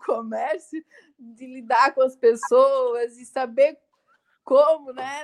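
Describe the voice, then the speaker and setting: A woman talks at a very slow pace. Her voice is high, with ordinary pitch variation. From Santa Catarina, southern Brazil. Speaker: entrepreneur and TV show co-host. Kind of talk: casual interview chat.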